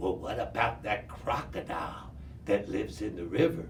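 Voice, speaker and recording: Over clear background noise, a man performs a put-on character voice. He speaks at a moderate pace with a fairly low pitch. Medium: read story.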